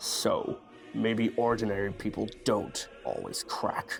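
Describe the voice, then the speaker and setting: A man's put-on character voice over clear background noise. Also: fairly slow pace. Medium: dub. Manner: serious, grave.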